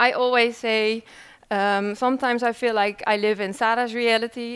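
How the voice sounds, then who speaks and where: A woman's fairly high voice carries fairly even intonation. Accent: Dutch. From Netherlands. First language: Dutch. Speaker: researcher. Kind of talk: conference presentation. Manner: hesitant, many fillers.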